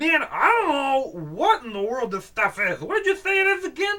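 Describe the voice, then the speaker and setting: A put-on character voice is pitched high, with very wide pitch swings. It moves at a moderate pace. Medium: read story. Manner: slow, rambling, cheerfully confused.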